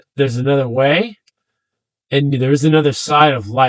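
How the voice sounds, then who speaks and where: A man with ordinary pitch variation. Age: 60s. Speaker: veteran advocate and mover. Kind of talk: interview testimony. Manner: halting, many fillers.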